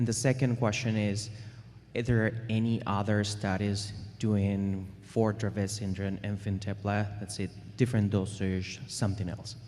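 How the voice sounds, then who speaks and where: This man has a dark, mellow tone and a fairly low pitch, with a non-native accent. He speaks at a moderate pace with fairly even intonation. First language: not English. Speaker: audience member, parent. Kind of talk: audience question.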